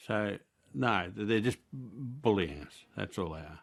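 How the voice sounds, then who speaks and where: With an Australian accent, a man speaks at a very slow pace in a fairly low pitch, his voice swinging very widely in pitch and showing vocal fry. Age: 60s. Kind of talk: news interview.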